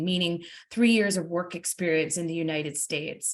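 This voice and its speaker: Somewhat breathy, a woman's voice moves along at a fairly quick pace. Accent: New Jersey. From US, New Jersey. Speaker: university admissions representative. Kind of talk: webinar presentation. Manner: fast.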